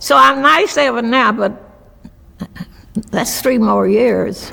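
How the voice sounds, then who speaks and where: Marked by vocal fry and very wide pitch swings, a woman speaks at a fairly high pitch in an Appalachian accent. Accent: Appalachian Southern US. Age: 90s. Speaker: restaurant owner. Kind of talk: interview. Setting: video interview. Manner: halting.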